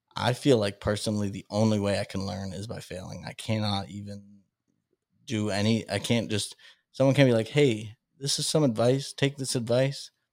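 A normal speaking voice with an American accent, at a moderate pace with ordinary pitch variation, on a very clean recording with a silent background. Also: man, fairly low pitch for a man, big swings in loudness. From Massachusetts (Salem). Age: 30s. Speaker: stand-up comedian and podcaster. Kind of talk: casual interview chat.

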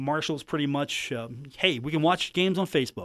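The background is silent and the recording very clean. A man talks, his pitch varying in an ordinary way. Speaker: sports radio host. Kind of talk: radio sports talk show.

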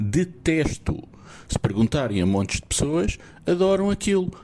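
Over noticeable background noise, a man with a fairly high pitch talks at a fairly slow pace with very wide pitch swings. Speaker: listener sending voice message. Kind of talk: recorded voice message. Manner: animated.

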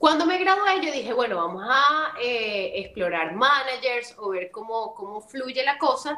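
A woman speaks at a fairly slow pace in a high pitch with very wide pitch swings. Noticeable background noise is heard. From Venezuela. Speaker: voice actress and model. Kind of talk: interview.

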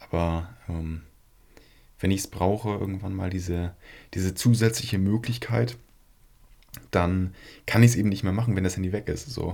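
At a moderate pace, a man speaks in a very deep, low pitch with a dark, mellow, somewhat breathy tone and ordinary pitch variation. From northern Germany, Flensburg area. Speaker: podcast co-host. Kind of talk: casual chat.

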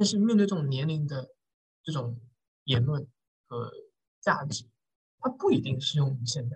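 This man's pitch sits fairly high, with lively intonation and a somewhat breathy quality. He moves at a moderate pace, broken by long, frequent pauses. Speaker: podcast host. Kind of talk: casual chat.

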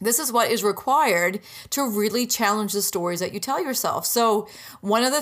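A woman speaks at a moderate pace in a medium pitch, her tone upbeat and animated, with ordinary pitch variation. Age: 30s. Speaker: podcast host and business mentor. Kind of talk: solo podcast monologue. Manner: upbeat, animated.

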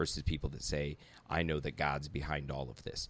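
Vocal fry runs through this voice, its intonation monotone and flat. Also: man. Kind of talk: casual conversation.

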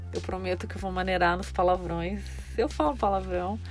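A woman speaks in a space with audible room echo. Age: 30s. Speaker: podcast host, runner and nutrition student. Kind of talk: solo podcast monologue. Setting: home, recording inside a closet.

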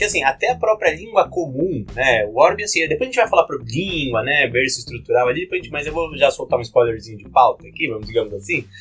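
Speaking very fast with hardly any pauses, a man's loudness swings widely against noticeable background noise. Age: 30s. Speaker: tabletop game designer. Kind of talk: casual chat.

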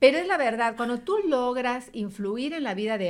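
Against a silent background on a very clean recording, a woman speaks in a normal speaking voice. Her pace is fairly slow, and her intonation is lively. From Yucatán, Mexico. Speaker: radio announcer and journalist. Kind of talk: interview conversation.

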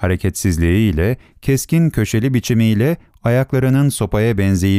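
What we hear is a natural reading voice.

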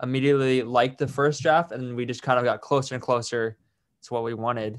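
In a Californian accent, a man speaks at medium pitch with monotone, flat intonation. The background is quiet. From San Francisco Bay Area. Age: 20s. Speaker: podcast host and rapper. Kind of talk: casual interview chat. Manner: halting, many fillers.

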